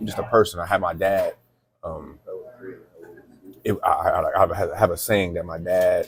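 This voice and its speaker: A man with an American accent speaks at a moderate pace, his loudness swinging widely, with long, frequent pauses. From Toledo, Ohio, then Marshalltown, Iowa from 14. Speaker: podcast host. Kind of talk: casual interview conversation. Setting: seated in a booth, on camera.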